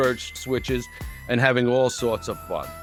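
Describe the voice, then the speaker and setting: A man is speaking. Music plays in the background. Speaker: YouTube host. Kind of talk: casual read-aloud of a holiday folklore book.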